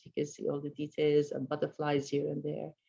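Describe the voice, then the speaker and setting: With an Arabic accent, a woman speaks in a very deep, low pitch with a dark, mellow tone. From Middle East. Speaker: sculptor. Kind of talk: artist presentation of slides. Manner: halting, many fillers.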